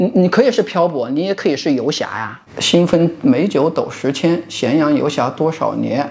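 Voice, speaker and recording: Speaking at a moderate pace with hardly any pauses, a man with a slight Hunan accent uses lively intonation at a fairly high pitch, over noticeable background noise. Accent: slight Hunan dialect accent in Mandarin. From Hunan, Lengshuijiang. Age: 30s. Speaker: university lecturer. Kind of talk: casual chat.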